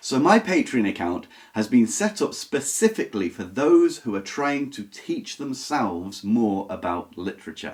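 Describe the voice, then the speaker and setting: With vocal fry and very wide pitch swings, a man speaks at a medium pitch and moderate pace in a very clean recording with a silent background. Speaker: book YouTuber. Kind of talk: casual vlog talk to camera. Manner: relaxed with filler words.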